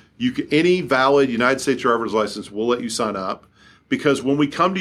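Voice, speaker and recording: A fairly high-pitched man with a Kentucky accent, lively intonation and a fairly quick pace, in a very clean recording with a silent background. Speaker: company CEO. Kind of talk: interview.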